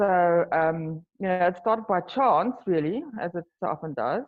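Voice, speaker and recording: A woman speaks in a South African accent. Her pitch is fairly low. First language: Afrikaans. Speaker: wine tour business owner. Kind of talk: interview. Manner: halting.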